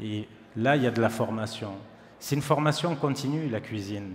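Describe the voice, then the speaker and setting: With noticeable background noise and audible room echo, a man speaks at a medium pitch with ordinary pitch variation. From southern France, Perpignan area. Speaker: chef. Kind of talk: conference talk. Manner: casual.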